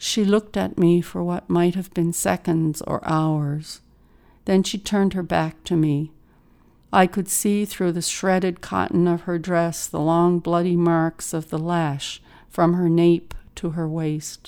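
A woman in a Newfoundland accent, fairly low-pitched, with a dark, mellow, dramatic tone, flat monotone intonation and a fairly slow pace, on a very clean recording with a silent background. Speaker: poet reading her own work. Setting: studio. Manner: measured, expressive, dramatic pauses for vivid imagery.

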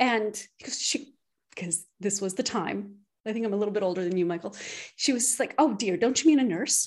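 Here is a woman with a Canadian accent and a plain, everyday voice. She talks at a fairly quick pace with ordinary pitch variation. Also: medium pitch for a woman. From Canada. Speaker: physician and stress coach. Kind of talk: interview conversation.

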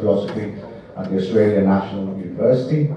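Over noticeable background noise and audible room echo, a man with a Greek accent speaks at a very fast pace with ordinary pitch variation. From Greece. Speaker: event moderator, researcher. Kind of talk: panel moderation.

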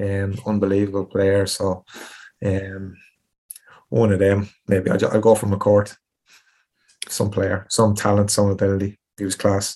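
In a Tipperary accent, a man talks at a fairly slow pace with long, frequent pauses, his fairly low, dark, mellow voice flat and monotone against a quiet background. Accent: rural Irish (Tipperary). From Tipperary, Ireland. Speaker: retired footballer. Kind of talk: interview.

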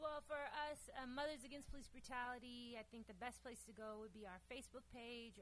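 Her pitch is high and her accent is American. The woman speaks at a moderate pace. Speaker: community organizer. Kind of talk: casual chat. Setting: stage with audience.

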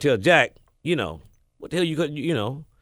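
Talking at a very fast pace with an American accent, a man with a fairly high pitch uses vocal fry on a very clean recording with a silent background. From US South, Mississippi. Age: 60s. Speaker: radio DJ and program director. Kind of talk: interview storytelling. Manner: halting, filler-heavy.

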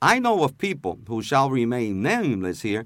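A man's voice makes very wide pitch swings on a very clean recording with a silent background. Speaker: journalist. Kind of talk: interview.

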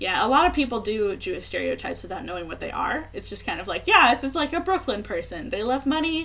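A woman speaks at a very fast pace in a high pitch, swinging very widely up and down. Noticeable background noise runs underneath. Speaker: podcast host. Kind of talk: casual chat.

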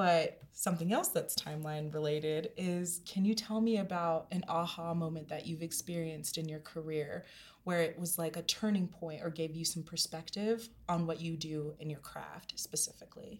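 A woman with an American accent and an ordinary speaking voice talks at fairly low pitch and moderate pace, with fairly even intonation and hardly any pauses. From Denver, US. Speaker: podcast host. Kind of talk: casual interview chat.

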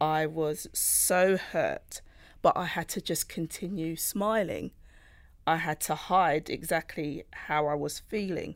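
A woman with a London accent. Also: very clean recording, silent background. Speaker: data privacy manager. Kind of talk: panel discussion, partly prepared statements.

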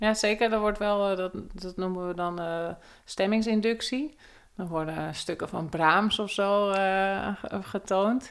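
Speaking very slowly in a medium pitch, a woman keeps her intonation fairly even on a very clean recording with a silent background. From Netherlands, North/South Holland border near Aalsmeer. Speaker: cognitive neuroscientist. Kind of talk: interview. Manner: halting.

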